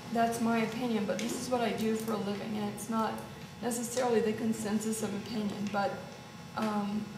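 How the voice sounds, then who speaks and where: A fairly high-pitched woman's voice in a monotone, flat intonation, with noticeable background noise and audible room echo. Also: fairly quick pace. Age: 60s. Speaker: hormone therapy practitioner. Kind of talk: health talk with audience questions.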